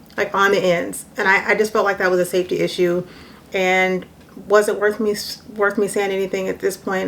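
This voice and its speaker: A soft-spoken woman talks at a fairly quick pace. Her pitch is medium and her intonation monotone and flat. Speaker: vlogger, mother. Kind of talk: casual vlog monologue.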